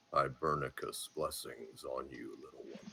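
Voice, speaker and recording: In a put-on character voice pitched extremely high, a man speaks at a moderate pace. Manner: solemn, benevolent.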